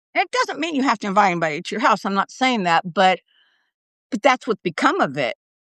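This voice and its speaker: A woman speaks very fast at a fairly high pitch, her voice swinging very widely up and down, in a dry, close sound with no echo. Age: 60s. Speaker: newsletter writer. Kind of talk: interview. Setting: livestream. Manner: halting.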